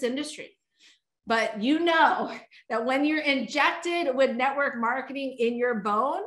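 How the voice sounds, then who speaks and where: Her voice is bright and sharp, high-pitched, with an animated tone and ordinary pitch variation. A woman speaks at a fairly slow pace amid audible room echo. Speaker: network marketing leader. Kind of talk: sales pitch.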